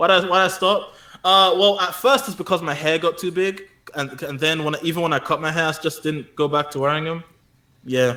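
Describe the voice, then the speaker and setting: A man with a London accent speaks fairly quickly at a high pitch, his tone bright and sharp and his pitch varying in an ordinary way. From South London. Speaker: anime YouTuber. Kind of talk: casual chat.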